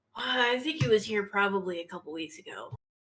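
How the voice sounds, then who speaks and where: A woman puts on a raspy character voice at a medium pitch, racing at a very fast pace with very wide pitch swings and big jumps in loudness. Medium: actual play. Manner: hesitant, modest.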